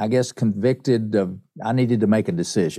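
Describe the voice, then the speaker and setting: A man with an Appalachian accent speaks in a dark, mellow tone. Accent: Southern US (Appalachian). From East Tennessee (Appalachian mountains). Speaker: songwriter and pianist. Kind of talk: interview.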